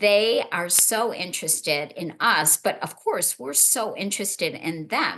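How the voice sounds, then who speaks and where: A woman with an American accent speaks at a moderate pace, her tone animated, bright and sharp. Her pitch varies in an ordinary way. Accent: Chicago accent, noticed abroad. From US, Chicago. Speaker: panel moderator. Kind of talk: panel discussion.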